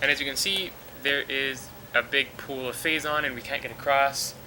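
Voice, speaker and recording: A man talks over noticeable background noise. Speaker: let's play commentator. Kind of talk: video game commentary. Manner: subdued, mellow.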